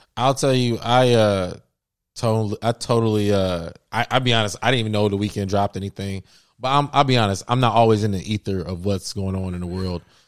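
Using a normal speaking voice with an American accent, the speaker goes at a fairly quick pace in a very clean recording, silent in the background, dry and close with no echo. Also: man, fairly low pitch for a man, ordinary pitch variation. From US Midwest (Cincinnati, Ohio). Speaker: podcast host, artist. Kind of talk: casual chat.

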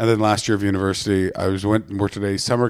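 A man's fairly low voice in an animated tone, very fast pace and an Ottawa Valley accent. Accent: Canadian, Ottawa Valley. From Ottawa, Canada. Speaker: stand-up comedian. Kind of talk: casual chat. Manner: animated, swears a lot.

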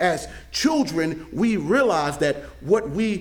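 Here a man talks at a very slow pace, with vocal fry and lively intonation. Audible room echo surrounds his voice. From Mississippi, US South. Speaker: pastor. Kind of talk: sermon. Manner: halting, frequent word repetitions.

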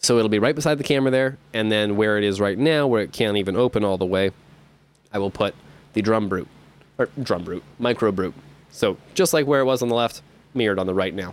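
In an unremarkable speaking voice, a man talks at a fairly quick pace with fairly low pitch and ordinary pitch variation. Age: 20s. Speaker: musician podcaster. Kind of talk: casual monologue.

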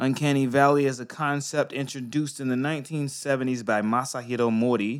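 The recording is very clean with a silent background. A man with an American accent speaks in a normal speaking voice at medium pitch and a fairly quick pace. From US. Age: 30s. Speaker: podcast co-host. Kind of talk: casual chat. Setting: studio.

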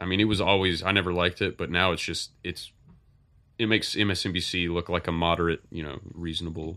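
On a very clean recording with a silent background, a man with a very deep, low pitch speaks very fast in a monotone, flat intonation and a bright, sharp tone. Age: 20s. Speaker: podcast host. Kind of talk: casual chat. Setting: live stream. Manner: halting, many fillers.

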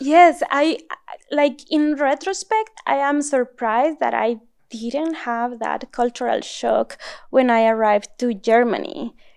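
At a fairly slow pace, a woman with a Mexican accent speaks in a high pitch with lively intonation against a quiet background. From northern Mexico. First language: Spanish. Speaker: neuroscience postdoc. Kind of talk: interview. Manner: frequent laughter.

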